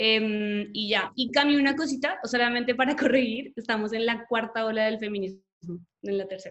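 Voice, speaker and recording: At a moderate pace, a woman talks in a plain, everyday voice with a fairly high pitch. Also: ordinary pitch variation, hardly any pauses. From Colombia. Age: young. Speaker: graphic designer and activist. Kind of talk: casual chat.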